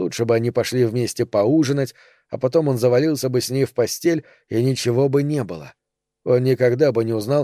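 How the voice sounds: Behind the speaker, things are quiet. The delivery is a natural reading voice.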